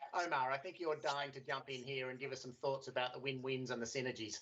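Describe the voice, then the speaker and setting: A man with an Australian accent talks at a very fast pace and a fairly high pitch. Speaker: panel moderator. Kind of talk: panel discussion.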